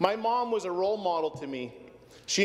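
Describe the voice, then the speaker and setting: Against noticeable background noise, a man with a Canadian accent speaks at a high pitch with ordinary pitch variation. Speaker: politician. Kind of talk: parliamentary speech. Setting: legislative chamber.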